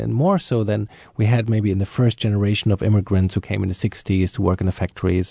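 A man with a German accent, fairly low in pitch and dark and mellow in tone, at a very fast pace, with a dry, close sound, no echo, and a quiet background. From Germany. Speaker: journalist and arts producer. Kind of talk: panel discussion.

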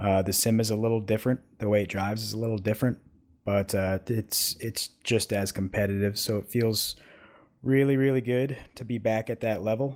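A man with an unremarkable speaking voice talks at a fairly quick pace in a fairly low pitch. His intonation is fairly even, and the recording is very clean with a silent background. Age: 30s. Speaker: sim racing driver. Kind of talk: interview.

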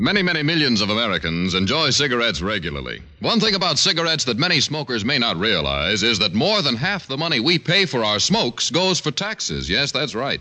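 With hardly any pauses, a man talks at a very fast pace in an upbeat tone, his medium pitch swinging very widely over noticeable background noise. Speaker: radio announcer. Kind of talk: 1950s radio show announcement, sponsor tag. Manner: polished, upbeat announcer delivery.

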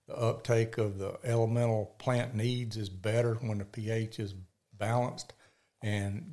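Speaking in a Mississippi accent, a man with a dark, mellow tone and medium pitch keeps a moderate pace and a flat, monotone delivery. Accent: Southern US (Mississippi). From US South, Mississippi (Picayune). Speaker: wildlife biologist and land broker. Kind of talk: casual interview chat.

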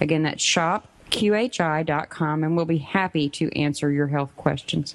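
Over noticeable background noise, a woman talks at a fairly slow pace in a fairly low pitch with ordinary pitch variation. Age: 50s. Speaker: radio co-host. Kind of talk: radio announcements. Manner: upbeat, enthusiastic.

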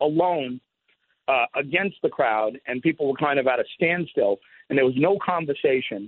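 Here is a man with an ordinary speaking voice, fairly high in pitch. He talks at a moderate pace with ordinary pitch variation. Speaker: radio talk show host. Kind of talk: phone interview. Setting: phone call.

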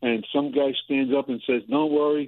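At a moderate pace, a man with an American accent talks at medium pitch in an unremarkable speaking voice. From New York City, Queens. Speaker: caller. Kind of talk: casual chat. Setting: phone call.

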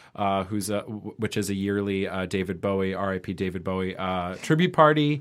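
A man with an American accent talks at a moderate pace in a normal speaking voice, fairly low in pitch with ordinary pitch variation. The recording is very clean with a silent background. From New York (Manhattan, Westchester). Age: 30s. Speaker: party promoter. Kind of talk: casual chat. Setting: studio.

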